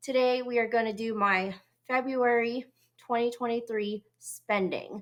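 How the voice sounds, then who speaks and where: A woman speaks at a fairly high pitch and a fairly slow pace. Her intonation is monotone and flat. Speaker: personal finance vlogger. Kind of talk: casual vlog talk to camera.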